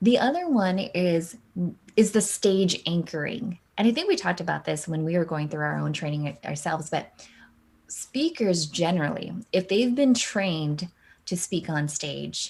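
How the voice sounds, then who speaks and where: A woman at a fairly low pitch, somewhat breathy, with an animated tone and lively intonation. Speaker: keynote speaker and live streamer. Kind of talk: interview. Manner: fast.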